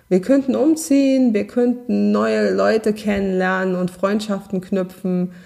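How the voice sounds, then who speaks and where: At a very slow pace, a woman with a slight Saarland accent speaks at medium pitch on a very clean recording with a silent background. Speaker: podcast host, self-confidence coach. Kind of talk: solo podcast monologue, coaching advice. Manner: warm, conversational.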